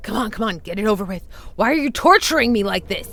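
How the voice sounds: At a very fast pace, a put-on character voice speaks with a fairly high pitch.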